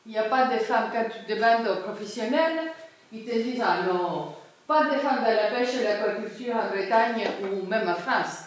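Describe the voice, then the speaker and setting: A woman at a moderate pace, fairly high in pitch with ordinary pitch variation, amid noticeable background noise and audible room echo. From Cyprus. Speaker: sociologist. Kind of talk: public talk. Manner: hesitant, many fillers.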